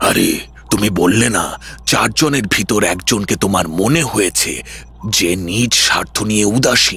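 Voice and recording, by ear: Putting on a character voice, a man with a fairly low pitch speaks at a moderate pace against light background noise.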